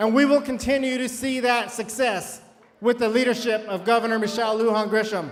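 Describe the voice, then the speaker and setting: A man with an extremely high pitch and fairly even intonation is heard against noticeable background noise. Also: fairly quick pace. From New Mexico, Grant County. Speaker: politician. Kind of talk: campaign speech.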